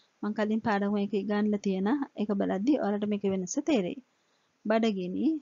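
Somewhat breathy, a woman talks very slowly at a fairly high pitch with ordinary pitch variation. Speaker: language teacher. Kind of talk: tutorial.

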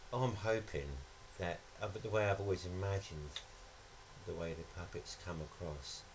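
The man's very deep, low voice moves at a moderate pace with ordinary pitch variation, with noticeable noise in the background. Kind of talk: interview answer. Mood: reflective, thoughtful. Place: studio.

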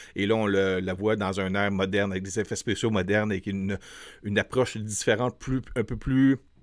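Speaking fairly quickly against a quiet background, a man has a fairly low pitch. He talks in a Quebec accent. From Quebec, Montreal. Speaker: film reviewer YouTuber; film reviewer. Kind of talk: casual film review to camera. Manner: hesitant, many fillers; enthusiastic. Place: studio. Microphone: studio mic.

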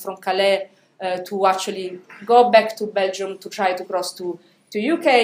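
A woman's voice carries ordinary pitch variation amid audible room echo. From Italy. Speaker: philosophy professor. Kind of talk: academic panel talk. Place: hall.

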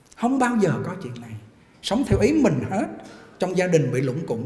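In a room with audible echo, a man talks at a fairly quick pace in an animated tone, his high pitch moving in very wide swings. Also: long, frequent pauses, big swings in loudness. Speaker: Buddhist monk giving a sermon; Buddhist monk teacher. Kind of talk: sermon. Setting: temple hall with live audience. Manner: animated, interactive with audience. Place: hall. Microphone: podium.

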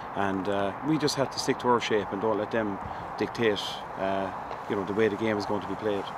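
The speech comes at a fairly quick pace, with a dry sound with no echo and noticeable background noise. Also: man. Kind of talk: interview answer. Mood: calm, measured after a win. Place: open country.

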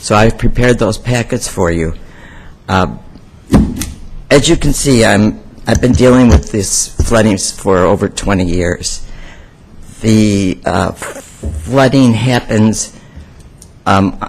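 Amid noticeable background noise, a man with a fairly low pitch speaks at a very slow pace, leaving long, frequent pauses. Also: ordinary pitch variation. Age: 70s. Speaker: public commenter. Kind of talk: public comment at a meeting. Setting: county board meeting. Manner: halting.

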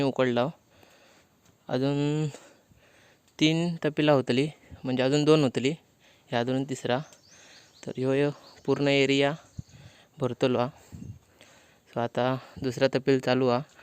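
In monotone, flat intonation, a man talks at a fairly high pitch. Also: dry, close sound with no echo. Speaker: village vlogger. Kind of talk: casual vlog narration.

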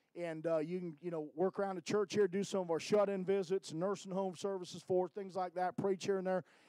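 Speaking at a fairly quick pace with hardly any pauses, a man uses a high yet dark, mellow voice in a flat monotone, the sound dry with no echo over a quiet background. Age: 50s. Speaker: evangelist preacher. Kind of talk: sermon. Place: church. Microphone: handheld.

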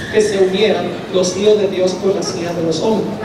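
Noticeable background noise and audible room echo both come through as a man speaks. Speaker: preacher. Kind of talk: sermon. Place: hall.

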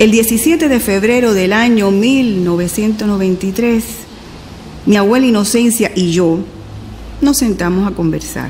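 A woman talks at a fairly high pitch, with ordinary variation in it and very even loudness. Long pauses come often, and background noise is noticeable. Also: moderate pace. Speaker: documentary filmmaker. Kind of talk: personal documentary narration. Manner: reflective, intimate.

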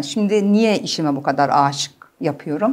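Lively intonation marks this woman's speech. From Germany. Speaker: clinical psychologist; guest. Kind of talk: interview. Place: studio. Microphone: lapel.

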